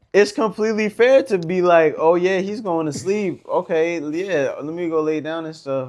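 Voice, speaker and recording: This is an ordinary speaking voice from a man. He keeps a moderate pace with lively intonation. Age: 20s. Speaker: podcast co-host. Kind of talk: casual chat.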